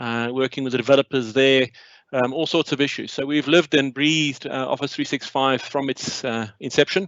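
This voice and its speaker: A man with a South African accent talks at a fairly quick pace, medium in pitch with fairly even intonation. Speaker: company CEO and co-founder. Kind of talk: webinar presentation. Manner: hesitant, many fillers.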